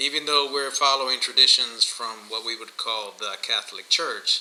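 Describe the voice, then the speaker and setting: Against noticeable background noise, a man speaks with a Spanish accent and fairly even intonation. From Miami, Florida (born in Guatemala). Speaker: podcast co-host. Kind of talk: casual chat. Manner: hesitant, many fillers.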